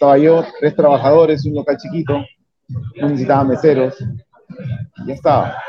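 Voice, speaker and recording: An unremarkable speaking voice at a moderate pace, with fairly even intonation. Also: man, fairly high pitch for a man. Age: 30s. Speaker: restaurant owner and entrepreneur. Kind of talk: interview. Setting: in his restaurant.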